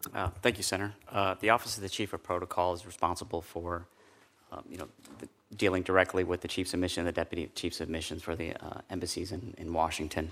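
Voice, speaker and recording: This man has a very deep, low pitch and a flat, monotone delivery. He speaks at a very fast pace. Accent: American. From Chicago, Southwest side. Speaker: navy veteran, protocol official. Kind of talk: confirmation hearing testimony. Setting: committee hearing room. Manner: formal.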